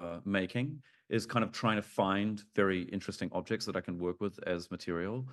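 Against a quiet background, a man with a New Zealand accent talks at a moderate pace in a fairly low pitch with ordinary pitch variation. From New Zealand, Auckland. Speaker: artist. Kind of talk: interview. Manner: hesitant, many fillers.

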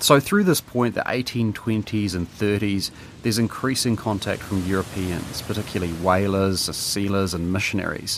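With a New Zealand accent, a man of fairly low pitch talks at a moderate pace with fairly even intonation and hardly any pauses, over noticeable background noise. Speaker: podcast co-host and producer. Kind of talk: scripted narration.

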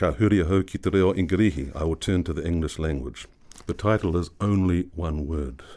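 A man with a New Zealand accent speaks in a very deep, low voice of dark, mellow tone with ordinary pitch variation, on a very clean recording with a silent background. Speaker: poet. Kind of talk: interview. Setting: studio.

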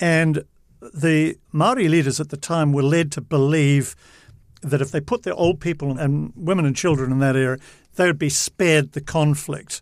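A man speaks at a moderate pace in a fairly high voice with ordinary pitch variation. The recording is very clean, with a silent background. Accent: New Zealand. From New Zealand. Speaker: veteran TV journalist. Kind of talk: casual interview. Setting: studio. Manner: animated.

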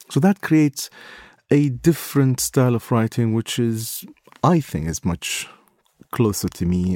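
A man with an Iraqi accent, medium pitch and a dark, mellow tone, his pitch swinging very widely, at a fairly slow pace with long, frequent pauses, in a dry, close sound with no echo. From Baghdad, Iraq. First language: Arabic. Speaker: war correspondent and photographer. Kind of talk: interview recounting stories.

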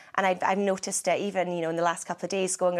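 A woman speaks with a Scottish accent in a fairly low pitch. Her intonation is monotone and flat, and the recording is very clean with a silent background. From Scotland. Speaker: agricultural journalist. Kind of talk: interview.

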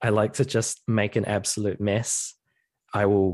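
A man speaks at a fairly slow pace with a New Zealand accent. His pitch is fairly low. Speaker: composer. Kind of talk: interview. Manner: hesitant, many fillers.

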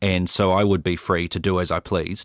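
With a New Zealand accent, a man speaks at a fairly slow pace in a very deep, low pitch, the sound dry and close with no echo on a very clean recording with a silent background. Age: 30s. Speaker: interviewee sharing personal experience. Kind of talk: personal testimony.

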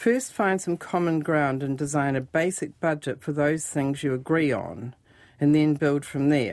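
A woman's very deep, low voice in a New Zealand accent, on a very clean recording with a silent background. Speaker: financial author and radio columnist. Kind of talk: casual radio chat about money. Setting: radio studio.

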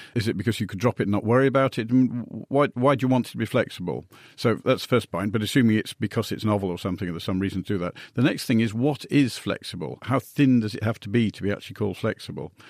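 A man with a British accent at a very fast pace, ordinary pitch variation, on a very clean recording with a silent background. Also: medium pitch for a man, dry, close sound with no echo. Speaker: tech investor. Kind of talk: radio science Q&A panel.

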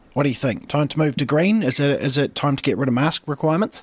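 Talking at a very fast pace, a man speaks with a New Zealand accent. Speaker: radio host. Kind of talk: live morning radio show presenting. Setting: radio studio.

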